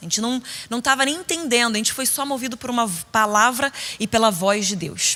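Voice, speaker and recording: An animated woman speaks with high pitch at a fairly quick pace. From Rio de Janeiro, Brazil (Niterói), later São Paulo. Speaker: preacher. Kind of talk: sermon. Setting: stage with audience at women's conference.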